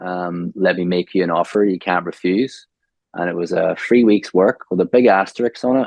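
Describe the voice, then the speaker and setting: A man with a Northern Irish accent speaks at a very deep, low pitch. He keeps a moderate pace and fairly even intonation. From Northern Ireland, Omagh. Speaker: graphic designer, branding. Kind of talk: podcast interview.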